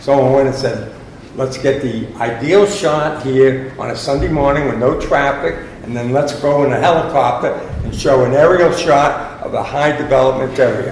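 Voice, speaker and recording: Amid noticeable background noise and audible room echo, a man speaks at a moderate pace in a fairly high pitch. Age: 70s. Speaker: resident asking questions at town meeting. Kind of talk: public meeting Q&A. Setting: community center meeting room.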